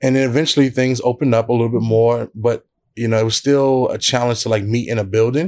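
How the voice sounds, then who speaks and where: A man with a New York accent, medium pitch, fairly even intonation and a very fast pace. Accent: New York (Brooklyn) English. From Brooklyn, New York. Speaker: church planter and pastor. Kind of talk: interview. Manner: casual, with many fillers.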